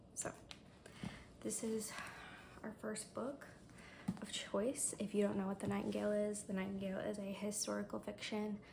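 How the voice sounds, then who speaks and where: There is noticeable background noise as a woman talks at a moderate pace with long, frequent pauses. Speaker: booktuber. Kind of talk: reading vlog. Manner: hesitant, filler-heavy.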